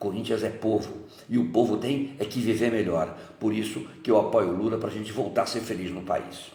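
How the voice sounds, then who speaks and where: A man at a fairly low pitch with ordinary variation and a moderate pace, amid noticeable background noise and audible room echo. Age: 70s. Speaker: football fan giving political testimony. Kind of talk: testimony.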